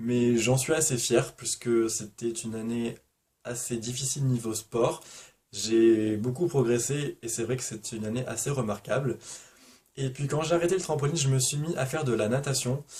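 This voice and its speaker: Somewhat breathy with a dark, mellow tone, a man talks at medium pitch and a moderate pace. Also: ordinary pitch variation. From Provence, southern France. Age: 20s. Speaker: booktuber. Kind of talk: casual vlog Q&A.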